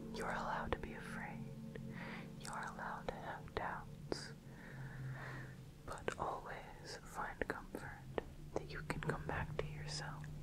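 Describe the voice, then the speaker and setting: Speech comes at a fairly slow pace through loud background noise. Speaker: ASMR creator. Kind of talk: ASMR trigger video, positive affirmations and relaxation. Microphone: studio mic.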